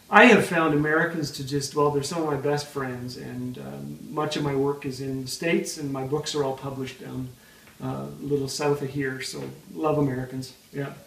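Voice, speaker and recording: With a Canadian accent, a man talks at a fairly high pitch amid noticeable background noise and audible room echo. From Canada. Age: old. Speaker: author and speaker, comedian. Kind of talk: interview. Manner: rapid fire delivery; animated.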